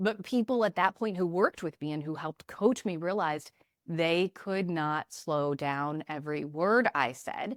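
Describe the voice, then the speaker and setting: With a fairly low pitch and lively intonation, a woman comes through in a dry, close sound with no echo on a very clean recording with a silent background. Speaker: communication trainer and former TV news reporter. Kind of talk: podcast interview. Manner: fast.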